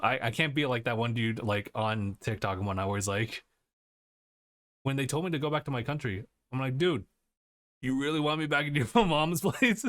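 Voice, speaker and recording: In an American accent, the speaker uses lively intonation and long, frequent pauses at a moderate pace, on a very clean recording with a silent background. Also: man, medium pitch for a man. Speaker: podcast host. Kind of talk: casual chat.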